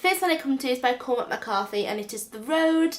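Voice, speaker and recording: Amid noticeable background noise, a woman with a Northern English accent speaks fairly quickly in a high voice with lively intonation. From North West England. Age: 20s. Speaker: book vlogger. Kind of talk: casual book review to camera. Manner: enthusiastic.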